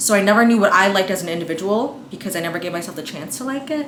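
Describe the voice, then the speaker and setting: Talking very fast with lively intonation, a woman with a New York accent and a fairly high pitch is heard amid audible room echo and noticeable background noise. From Staten Island, New York. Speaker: lifestyle vlogger. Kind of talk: casual vlog, apartment tour. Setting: at home. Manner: chatty, informal.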